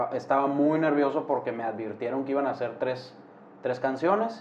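A man is speaking. His pitch is medium, with ordinary variation. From Hermosillo, Sonora, northern Mexico. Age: 20s. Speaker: concert photographer and streamer. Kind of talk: casual chat.

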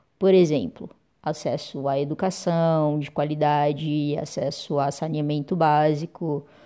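In a very clean recording with a silent background, a woman speaks with a very deep, low pitch, a dark, mellow tone and fairly even intonation. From Brazil, Uberlândia, Minas Gerais. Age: 30s. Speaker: lawyer and council candidate. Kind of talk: personal monologue to camera.

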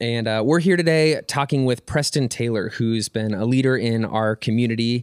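A normal speaking voice moves at a moderate pace with ordinary pitch variation. There are hardly any pauses. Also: man, medium pitch for a man. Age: 20s. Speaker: ministry podcast host. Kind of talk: casual chat.

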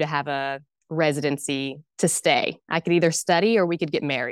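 At a moderate pace and with fairly even intonation, a woman speaks in a normal speaking voice, the sound dry and close with no echo on a very clean recording with a silent background. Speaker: doula and postpartum care specialist. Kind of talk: casual interview chat, telling birth story.

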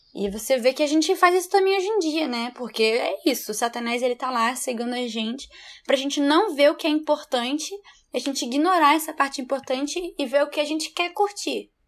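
High in pitch, a woman speaks at a fairly quick pace with lively intonation. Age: 20s. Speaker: lawyer. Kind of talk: casual Bible study discussion.

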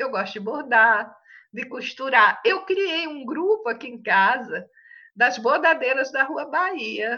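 Raising and projecting her high-pitched voice, a woman with a bright, sharp tone speaks very slowly with very wide pitch swings. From Brazil, interior of São Paulo state (Tanabi). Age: 70s. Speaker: retired teacher and writer. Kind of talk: interview.

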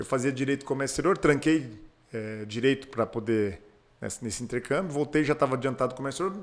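Speaking at a moderate pace, a man with a fairly high pitch has a normal speaking voice. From southwestern Paraná, Brazil (Pato Branco). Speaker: businessman and state politician. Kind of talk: casual interview.

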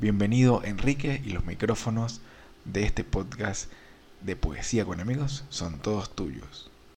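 At a fairly slow pace, a man with a fairly low pitch speaks with lively intonation and vocal fry. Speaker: podcast host. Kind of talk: podcast intro and outro, scripted-sounding welcome. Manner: warm, friendly, formal.

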